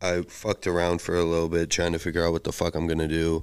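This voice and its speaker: A man with a very deep, low voice speaks on a very clean recording with a silent background. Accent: Chicago. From US Midwest (Chicago area, Illinois). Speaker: former drug trafficker telling his story. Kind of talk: casual conversational storytelling. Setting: in-person podcast recording.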